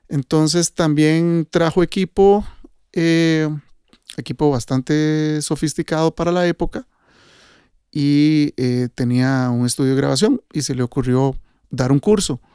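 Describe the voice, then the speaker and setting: A man speaks fairly slowly, his pitch fairly high with ordinary variation and a dark, mellow tone. The recording is very clean with a silent background and a dry, close sound with no echo. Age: 50s. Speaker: sound engineer. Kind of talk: casual chat. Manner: halting.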